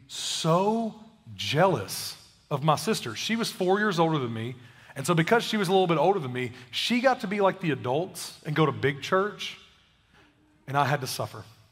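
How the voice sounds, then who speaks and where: Fairly quick and with very wide pitch swings, a man's voice carries audible room echo. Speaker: pastor. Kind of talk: sermon. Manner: casual, conversational.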